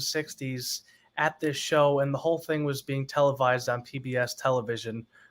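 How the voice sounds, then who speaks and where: A man with an unremarkable speaking voice talks at a moderate pace with fairly even intonation, on a very clean recording with a silent background. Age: 20s. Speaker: singer. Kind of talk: interview.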